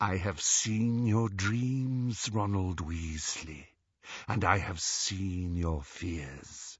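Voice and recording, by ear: A whispered, hissing put-on character voice at a very slow pace. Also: man.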